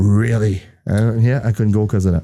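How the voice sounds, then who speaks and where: With a French accent, the speaker talks at a moderate pace in a dark, mellow tone. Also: man. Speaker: podcast host, former truck driver. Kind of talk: casual chat.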